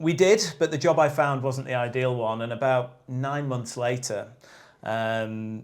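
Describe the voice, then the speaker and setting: Here a man speaks with an English accent at a fairly slow pace. His pitch is medium, with ordinary pitch variation. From northern England, Lake District. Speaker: outdoor brand sales rep. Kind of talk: casual podcast interview.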